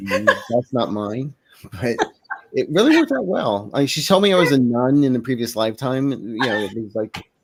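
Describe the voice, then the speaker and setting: An unremarkable speaking voice from a man, medium in pitch, with lively intonation. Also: fairly quick pace. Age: 60s. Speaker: psychic reader. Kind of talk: casual chat. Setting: live stream.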